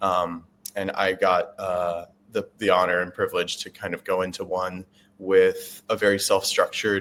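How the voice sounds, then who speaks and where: A moderate pace in a Chicago accent. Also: man. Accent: American (Chicago). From US Midwest, Chicago. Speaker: veterinary student. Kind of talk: interview. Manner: halting, many fillers.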